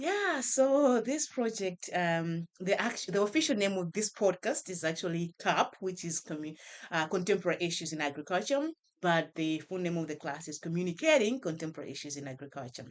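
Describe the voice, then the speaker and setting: A woman with a Malawian accent, fairly low in pitch, at a fairly quick pace with lively intonation. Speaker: professor. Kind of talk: podcast interview.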